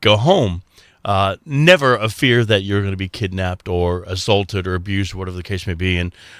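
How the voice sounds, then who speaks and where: Recorded dry and close with no echo, a man with an American accent speaks at a fairly low pitch and fairly quick pace, with ordinary pitch variation. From Texas. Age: 60s. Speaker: radio host. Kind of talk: casual chat. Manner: halting, many fillers.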